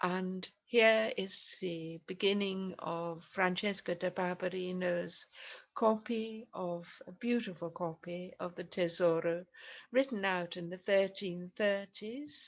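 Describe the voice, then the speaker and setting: A woman speaks at a very slow pace with a medium pitch and ordinary pitch variation. Behind her, the background is quiet. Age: 80s+. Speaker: medieval literature scholar. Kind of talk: lecture. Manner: halting.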